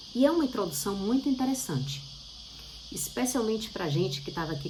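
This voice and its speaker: The speech runs at a moderate pace with very wide pitch swings. There is noticeable background noise and audible room echo. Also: woman. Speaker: bible teacher. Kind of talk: bible study talk.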